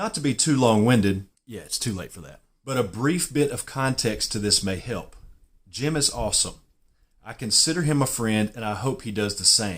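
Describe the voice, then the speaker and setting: A man with a Southern US accent, lively intonation and big swings in loudness. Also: medium pitch for a man. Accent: southern US drawl. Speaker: golf YouTuber. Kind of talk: casual vlog, partly reading his own written reply aloud. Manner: reading aloud from typed text; hesitant, with fillers.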